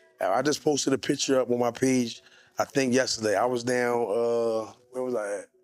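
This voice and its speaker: Music in the background under a man's medium-pitched voice with fairly even intonation. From Philadelphia. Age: 40s. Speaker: youth mentor and artist. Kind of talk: podcast interview.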